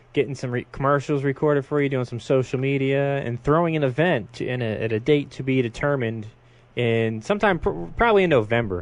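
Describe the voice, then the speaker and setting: This man talks at a fairly quick pace with a medium pitch and an East Coast American accent. His intonation is lively. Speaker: radio host. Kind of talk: radio interview. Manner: casual.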